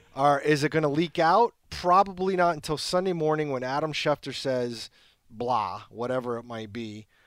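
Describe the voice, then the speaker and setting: A man's unremarkable speaking voice at a fairly high pitch and moderate pace, with lively intonation, in a very clean recording with a silent background. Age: 50s. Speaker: sports team reporter. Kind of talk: casual chat.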